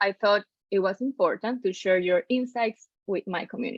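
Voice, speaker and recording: A woman with a Spanish accent speaks at a moderate pace with lively intonation, the sound dry and close with no echo. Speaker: podcast host. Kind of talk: interview.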